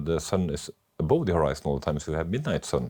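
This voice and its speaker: Very fast and very deep, a man's voice with a Southern Norwegian accent carries a dark, mellow tone against a quiet background. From Norway, Oslo. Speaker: doctor. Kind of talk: casual chat. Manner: halting.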